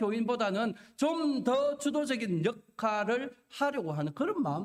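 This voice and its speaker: A man speaks in an extremely high pitch with a Gyeongsang accent. His pitch swings very widely as he talks at a fairly slow pace. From Korea, Gyeongsang region. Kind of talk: sermon, preaching.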